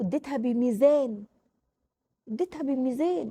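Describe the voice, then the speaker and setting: Speaking with an Egyptian accent, a woman with a high pitch and a dark, mellow tone keeps a moderate pace in a dry, close sound with no echo. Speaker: parenting vlogger, mother. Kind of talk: casual advice talk to camera. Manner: animated.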